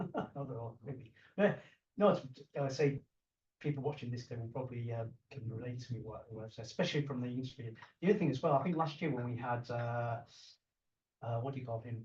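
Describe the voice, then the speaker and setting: Talking at a very fast pace with a British accent, a man sounds somewhat breathy, with long, frequent pauses, big swings in loudness and ordinary pitch variation. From UK. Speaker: martial arts channel host, interviewer. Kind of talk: interview. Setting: guest's place in Hong Kong. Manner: halting, many fillers and repeats.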